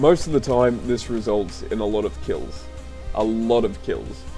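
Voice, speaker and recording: Music plays in the background as a man talks at a fairly slow pace. His pitch is medium, with very wide pitch swings. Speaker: gaming video creator. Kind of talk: game tutorial narration.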